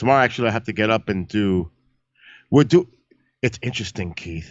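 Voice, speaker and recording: With lively intonation, the speaker talks at a very fast pace in a New York accent. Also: man, fairly low pitch for a man. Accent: Bronx New York. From New York City, the Bronx. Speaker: live-stream astronomy host and paranormal show producer. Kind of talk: casual chat. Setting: live stream.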